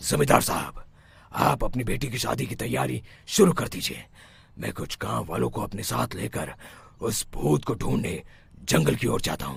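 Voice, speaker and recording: A man uses a cartoonish character voice with a very deep, low pitch. He talks at a moderate pace, and his pitch swings very widely. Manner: calm, authoritative.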